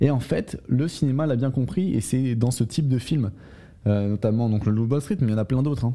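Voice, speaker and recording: A man's dark, mellow tone at a fairly quick pace, with very even loudness throughout. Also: medium pitch for a man, ordinary pitch variation. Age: 20s. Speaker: sales podcast host. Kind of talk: solo podcast monologue. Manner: halting, with frequent fillers.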